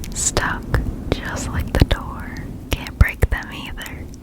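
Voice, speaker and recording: A whisper at a fairly slow pace over noticeable background noise. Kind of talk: ASMR story reading. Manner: whispered.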